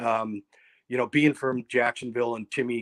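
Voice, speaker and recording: A man with an American accent speaks at a moderate pace and medium pitch, his intonation flat and monotone. The recording is very clean with a silent background, dry and close with no echo. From upstate New York (Ithaca). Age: 60s. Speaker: company president, event business. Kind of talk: interview. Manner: halting, many repetitions.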